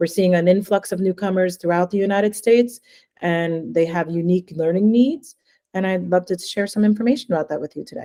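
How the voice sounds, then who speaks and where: A woman with an American accent at medium pitch, dark and mellow in tone, with ordinary pitch variation and a fairly quick pace. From New Jersey. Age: 40s. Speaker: language education consultant. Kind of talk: webinar presentation.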